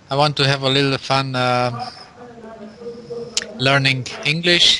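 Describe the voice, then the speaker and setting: A man of medium pitch speaks at a fairly slow pace with fairly even intonation amid noticeable background noise. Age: 50s. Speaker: engineer, English learner. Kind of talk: casual chat. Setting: Skype call. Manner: halting.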